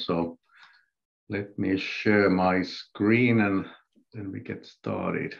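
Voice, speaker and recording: A man talks at a fairly low pitch with ordinary pitch variation. The background is quiet. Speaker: presenter. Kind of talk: webinar presentation. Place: home room. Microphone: video call.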